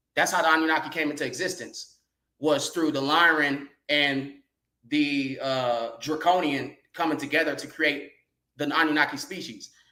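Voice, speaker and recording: Heard with audible room echo, a man with a bright, sharp tone speaks at a moderate pace in a monotone, flat intonation. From California. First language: sign language. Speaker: guest speaker on a livestream. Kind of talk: casual livestream talk, lecture-like. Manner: halting, many fillers.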